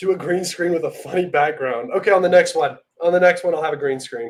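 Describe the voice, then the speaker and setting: This man has a high-pitched voice. He talks at a fairly quick pace. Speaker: geopolitics livestream host. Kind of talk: casual livestream commentary. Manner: fast; animated.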